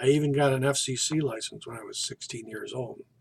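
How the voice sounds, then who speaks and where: Somewhat breathy and pitched fairly high, a man speaks at a moderate pace in a monotone, flat intonation. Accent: American. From US Midwest, northeast Ohio. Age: 60s. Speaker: college student. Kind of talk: self-introduction. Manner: formal.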